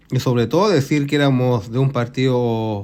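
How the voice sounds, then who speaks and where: A man talks with a plain, everyday voice at a medium pitch. His pace is moderate. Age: 60s. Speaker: retiree, eyewitness to history. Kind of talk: interview.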